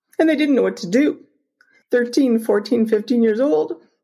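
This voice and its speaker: A somewhat breathy, dark, mellow tone with a Canadian accent, a fairly slow pace and ordinary pitch variation. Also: woman. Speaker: humanitarian charity cofounder. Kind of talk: personal testimony.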